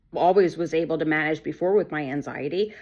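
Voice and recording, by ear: The delivery moves at a moderate pace with lively intonation. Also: woman.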